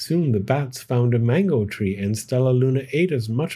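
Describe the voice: The text comes across as plain reading aloud.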